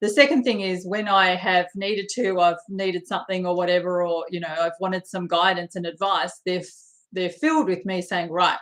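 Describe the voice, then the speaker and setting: At a moderate pace, a woman with medium pitch speaks in an unremarkable speaking voice. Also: quiet background. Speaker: spiritual coach and card reader. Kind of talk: live stream chat with viewers. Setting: live video stream.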